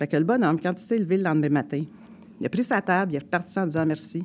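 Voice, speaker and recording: The speaker talks at a very fast pace in a strong Quebec accent. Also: woman. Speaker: storyteller and folk singer. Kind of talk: storytelling. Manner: colloquial, animated.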